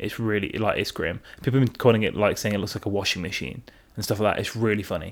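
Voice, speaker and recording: A man with a fairly low pitch and an English Midlands accent, ordinary pitch variation and a very fast pace. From England, Derby. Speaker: podcast host. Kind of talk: casual chat. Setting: at home on the sofa.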